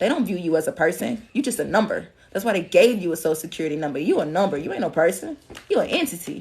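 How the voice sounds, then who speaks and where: A woman's fairly low, somewhat breathy voice with lively intonation, at a very fast pace. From Alabama. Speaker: spiritual reader. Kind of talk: livestream reading. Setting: TikTok live stream. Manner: casual, repetitive.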